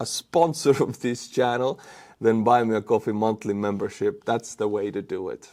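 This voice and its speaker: Recorded very cleanly against a silent background, a man with an Estonian accent speaks at a moderate pace with medium pitch and ordinary pitch variation. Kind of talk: casual YouTuber talking to audience.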